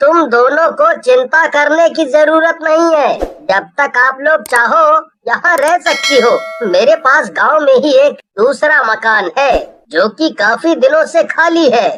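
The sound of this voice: This is a cartoonish character voice with a high pitch. It moves at a fairly slow pace.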